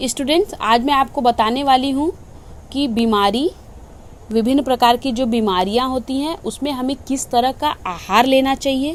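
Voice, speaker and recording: Through noticeable background noise, a woman speaks at a high pitch with ordinary pitch variation. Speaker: home science teacher. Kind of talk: online lecture.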